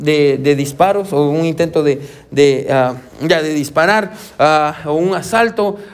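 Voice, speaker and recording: A man with a fairly high pitch speaks at a very slow pace. Audible room echo and noticeable background noise surround him. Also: ordinary pitch variation. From Guatemala. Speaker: pastor. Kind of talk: sermon. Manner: halting.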